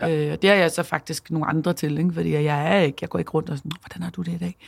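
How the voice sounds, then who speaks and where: A woman talking at a very fast pace. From Denmark, Copenhagen. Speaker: entrepreneur and CEO, former DJ and radio host. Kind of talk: casual interview. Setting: studio.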